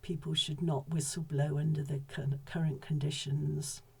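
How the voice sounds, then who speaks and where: Noticeable background noise sits behind this recording. A woman speaks in a very deep, low pitch with monotone, flat intonation. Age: 70s. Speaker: whistleblower, former mental health professional. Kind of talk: personal testimony.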